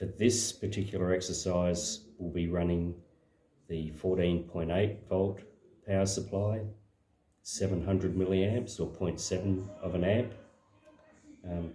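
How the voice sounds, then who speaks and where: In a somewhat breathy, very deep, low voice, a man speaks fairly slowly with long, frequent pauses and monotone, flat intonation, with audible room echo around him. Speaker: slot car hobbyist and video maker. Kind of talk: casual demonstration tutorial. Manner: hesitant, many fillers.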